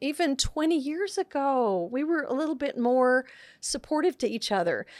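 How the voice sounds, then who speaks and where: A woman with a high pitch and an American accent speaks at a moderate pace with lively intonation. The sound is dry and close with no echo, on a very clean recording with a silent background. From Texas, Central Texas. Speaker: nurse educator and podcaster. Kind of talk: interview conversation.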